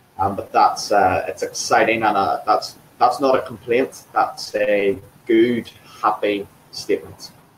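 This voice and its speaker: Over noticeable background noise, a man talks at a fairly slow pace in an enthusiastic tone. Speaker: fitness trainer. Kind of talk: interview.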